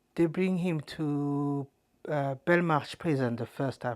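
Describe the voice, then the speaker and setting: A woman speaks in a French accent with a very deep, low pitch at a fairly slow pace. The recording is very clean, with a silent background. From France. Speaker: wife of a detainee. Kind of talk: testimony. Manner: halting.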